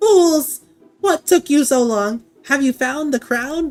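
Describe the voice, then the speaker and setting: Over faint background music, a man performs a put-on character voice at an extremely high pitch and a fairly slow pace. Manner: imperious, scolding.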